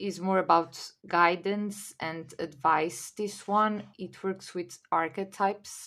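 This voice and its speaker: Her voice is medium-pitched, with a Portuguese accent and ordinary pitch variation, belonging to a woman. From Portugal. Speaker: tarot reader and video creator. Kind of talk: casual haul video.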